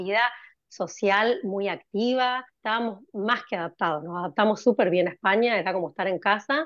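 Speaking at a fairly quick pace, a woman has an unremarkable speaking voice of medium pitch with ordinary pitch variation. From Argentina, Corrientes. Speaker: cardiologist. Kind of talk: interview.

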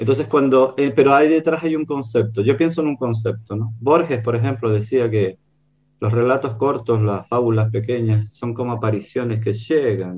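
The voice belongs to a man and is somewhat breathy. He keeps to a moderate speed. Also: medium pitch for a man, ordinary pitch variation. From Canary Islands, Gran Canaria. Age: 60s. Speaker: writer and illustrator. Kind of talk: book presentation discussion. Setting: video call.

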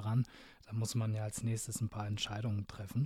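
A medium-pitched, somewhat breathy man on a very clean recording with a silent background. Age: 20s. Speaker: podcast host. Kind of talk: casual interview.

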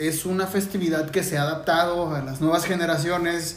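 Amid noticeable background noise and audible room echo, a man with a high pitch talks at a fairly quick pace with fairly even intonation. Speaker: podcast co-host and musician. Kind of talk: casual chat.

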